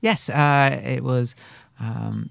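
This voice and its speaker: The speaker is a man with a British accent. Behind him, the background stays quiet. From England. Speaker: actor. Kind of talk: casual interview storytelling.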